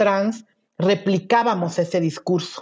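Against a quiet background, a woman with a medium pitch and a dark, mellow tone speaks with lively intonation. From Veracruz, Mexico. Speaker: LGBT prison rights activist. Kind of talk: interview conversation. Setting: remote recording.

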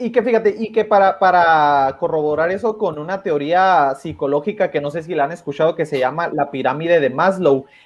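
A man with a Mexican accent talks at a high pitch with ordinary pitch variation. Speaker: YouTube political commentator. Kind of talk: casual livestream discussion.

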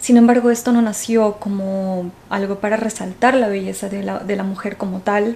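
Her intonation monotone and flat, a woman speaks at a medium pitch and a fairly slow pace. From Ecuador. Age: 20s. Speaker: podcast host. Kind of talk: casual monologue. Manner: hesitant, many fillers.

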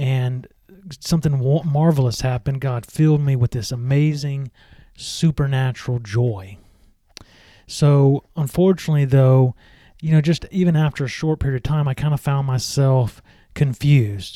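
With a Southern US accent, a man talks at a moderate pace in a fairly high pitch with a dark, mellow tone, on a very clean recording with a silent background. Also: ordinary pitch variation, dry, close sound with no echo. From US South, Mississippi (Meridian). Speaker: podcast host. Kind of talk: solo religious podcast talk and testimony.

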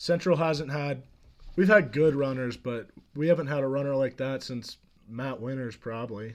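With a plain, everyday voice, a man talks at a moderate pace, his medium pitch showing ordinary variation. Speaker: guest, friend of host. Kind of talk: casual chat.

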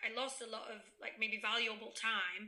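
Room echo is audible in the clip. The voice is a woman's. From Spain (raised there, English-born). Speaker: podcast guest. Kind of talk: casual chat.

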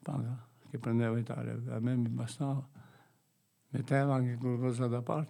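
A man speaks at a moderate pace and medium pitch in a dark, mellow tone. His intonation is monotone and flat, with long, frequent pauses. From Albania. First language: Albanian (speaking Italian). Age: 60s. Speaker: gardener staying at a shelter. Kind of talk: radio interview.

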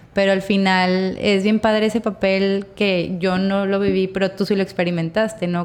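At a fairly slow pace, a woman talks in a medium pitch with monotone, flat intonation. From Mexico, Torreón. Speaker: podcast host. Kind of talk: casual interview chat. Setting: studio.

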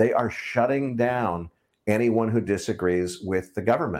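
Speaking in a plain, everyday voice, a man with an American accent keeps a moderate pace at a fairly low pitch with ordinary pitch variation. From United States. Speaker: financial podcast host. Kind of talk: casual interview. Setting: video call.

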